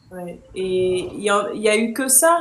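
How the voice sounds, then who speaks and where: A woman's fairly high voice with lively intonation, over noticeable background noise and audible room echo. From Bordeaux, south-west France. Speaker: dating coach live-stream host. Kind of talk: casual chat. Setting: live stream.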